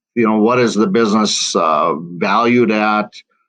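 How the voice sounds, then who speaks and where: A man talks fairly slowly at medium pitch, with ordinary pitch variation. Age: 60s. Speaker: financial advisor. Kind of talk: interview. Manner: halting, many fillers.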